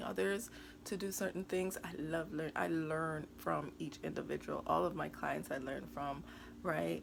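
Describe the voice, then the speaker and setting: Speaking at a fairly slow pace, a woman with a very deep, low pitch and vocal fry makes very wide pitch swings amid audible room echo. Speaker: money and wellness coach. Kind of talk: casual vlog talk to camera. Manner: halting, with many fillers.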